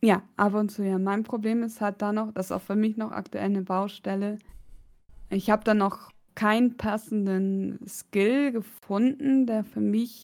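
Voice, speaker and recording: On a very clean recording with a silent background, a woman speaks at a very slow pace. Her fairly high voice keeps a fairly even intonation. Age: 30s. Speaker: podcast co-host. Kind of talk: casual chat.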